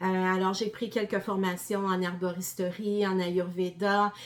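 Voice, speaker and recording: A woman with a Quebec accent speaks at a fairly slow pace. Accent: Québécois. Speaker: gardening presenter, former health professional. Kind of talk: presentation to an audience. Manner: many hesitations (euh).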